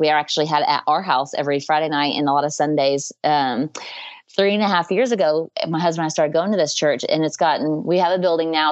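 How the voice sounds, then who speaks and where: This woman has a very deep, low voice and speaks very fast with ordinary pitch variation. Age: 30s. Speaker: holistic dietitian and essential oils business owner. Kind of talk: casual interview.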